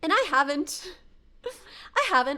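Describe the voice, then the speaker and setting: Projecting a raised voice, a woman speaks in a high pitch with a bright, sharp tone. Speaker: streamer. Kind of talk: casual chat. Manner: halting, many restarts.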